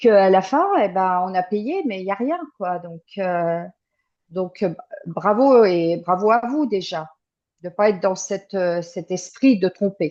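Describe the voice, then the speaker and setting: The voice has a dark, mellow tone with ordinary pitch variation. The pace is very slow. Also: woman, medium pitch for a woman. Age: 60s. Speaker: client giving a testimonial. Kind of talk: interview testimony. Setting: remote call. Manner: halting, many hesitations.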